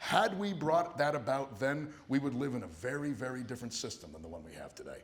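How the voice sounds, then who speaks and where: In a room with audible echo, a man speaks at a fairly high pitch for a man. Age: 40s. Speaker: political candidate. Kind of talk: town hall Q&A answer. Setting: town hall hall with audience, microphone.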